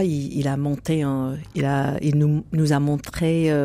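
A woman speaks very slowly in a very deep, low voice. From United States. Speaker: jazz singer. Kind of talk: interview. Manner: halting.

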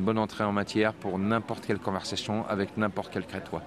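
With noticeable background noise behind him, a man speaks at a moderate pace in a fairly low voice. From France. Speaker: tour guide. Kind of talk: casual interview.

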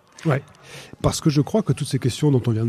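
A man's somewhat breathy voice with a dark, mellow tone and ordinary pitch variation, in a dry, close sound with no echo. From France, Loire valley. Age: 50s. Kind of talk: radio interview.

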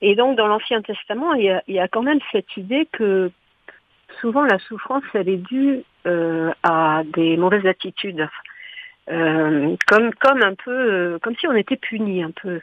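The delivery comes at a fairly slow pace with lively intonation. It is a plain, everyday voice. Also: woman, medium pitch for a woman. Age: 60s. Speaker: hospital chaplain. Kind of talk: radio interview. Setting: studio.

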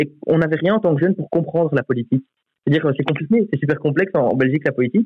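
Speaking at a very fast pace, a man uses a fairly high pitch. His intonation is lively. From Belgium, Charleroi region. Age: 20s. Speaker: youth politician. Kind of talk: radio debate.

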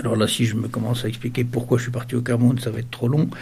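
In a room with audible echo and noticeable background noise, a man speaks at medium pitch with a flat, monotone intonation. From Sarthe, western France. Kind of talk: interview testimony. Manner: hesitant, many repetitions.

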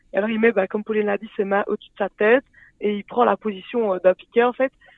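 A woman with a normal speaking voice talks at a fairly high pitch with fairly even intonation. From Belgium, Liège. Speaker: sport co-creator, physical education graduate. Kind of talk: radio interview.

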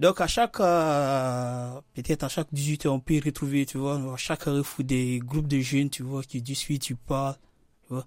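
With an unremarkable speaking voice, this man talks at a moderate pace, fairly high-pitched for a man, with fairly even intonation on a very clean recording over a silent background. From Guinea. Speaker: Guinean immigrant. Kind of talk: radio interview. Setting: radio studio.

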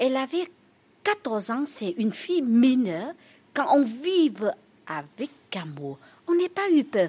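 Speaking with a Vietnamese accent, a woman uses a high pitch with very wide pitch swings. Her pace is very slow, with long, frequent pauses. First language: Vietnamese (speaking French). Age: young. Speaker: nun and pilgrimage guide. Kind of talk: interview. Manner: halting.

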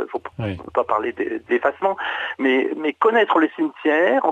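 This man talks at a moderate pace. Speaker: heritage association administrator. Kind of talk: radio interview. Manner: halting. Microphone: connection problems.

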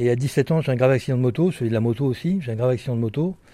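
Here a man talks at a very fast pace in a medium-pitched, dark, mellow voice. It is somewhat breathy, with ordinary pitch variation. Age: 60s. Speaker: author and former bank robber. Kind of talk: interview testimony. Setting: prison library.

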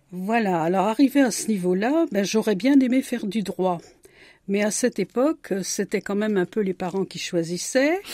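A woman's dark, mellow voice with lively intonation at a moderate pace, dry and close with no echo, in a very clean recording with a silent background. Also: medium pitch for a woman. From France, Marne (Champagne). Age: 70s. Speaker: retired women's group leader. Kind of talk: radio interview. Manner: hesitant.

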